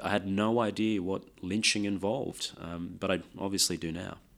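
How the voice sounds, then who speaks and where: A man speaks at a moderate pace in a fairly low pitch with fairly even intonation. The recording is very clean, with a silent background. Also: hardly any pauses. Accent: Australian. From Australia, Sydney. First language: Lao. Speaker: race discrimination commissioner. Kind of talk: interview.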